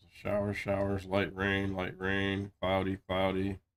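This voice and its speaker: A man speaks at a very slow pace in a fairly low voice. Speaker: gaming streamer. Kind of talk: casual live-stream chat. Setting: home stream, in Discord.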